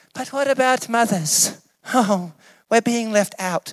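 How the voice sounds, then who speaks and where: This put-on character voice sounds whiny and fairly high. It moves at a fairly slow pace. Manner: complaining, self-pitying.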